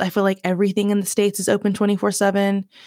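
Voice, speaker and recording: Speaking at a fairly quick pace with a Southern US accent, a woman is heard on a very clean recording against a silent background. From Virginia, US South. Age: 20s. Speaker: podcast host. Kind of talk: casual solo monologue. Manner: chatty, animated, conversational.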